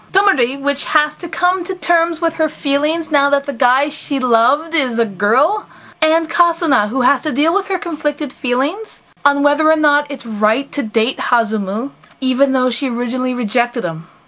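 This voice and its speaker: Lively intonation and a high pitch mark this woman's speech. Noticeable background noise can be heard. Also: moderate pace. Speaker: anime reviewer. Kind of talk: casual talk to camera.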